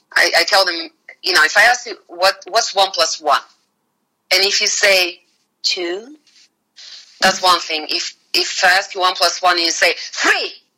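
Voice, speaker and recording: A woman with a Russian accent, medium in pitch and bright and sharp in tone, at a fairly slow pace with fairly even intonation and long, frequent pauses. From Bulgaria. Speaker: finance executive. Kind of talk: casual interview chat.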